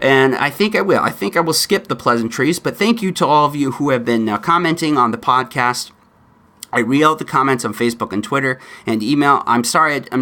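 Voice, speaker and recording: A man with an American accent talks very fast in a bright, sharp, fairly high voice with lively intonation. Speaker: podcast host. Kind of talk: political commentary podcast.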